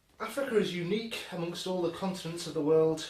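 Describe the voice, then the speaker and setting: With a Scouse accent, a man speaks at a fairly quick pace and a high pitch with fairly even intonation, amid audible room echo and noticeable background noise. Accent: Scouse, self-described as dodgy. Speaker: music instrument presenter. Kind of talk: casual presentation. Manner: halting, many filler ums.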